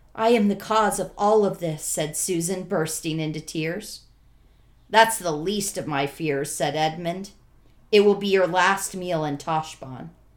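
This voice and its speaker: A woman talks in an ordinary speaking voice. Her pitch sits fairly low. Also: ordinary pitch variation. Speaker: podcast co-host. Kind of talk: casual chat.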